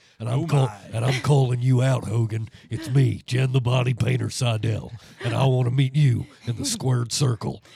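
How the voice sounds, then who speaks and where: Using a put-on character voice, a man speaks at a moderate pace and medium pitch. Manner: gruff, bombastic challenge.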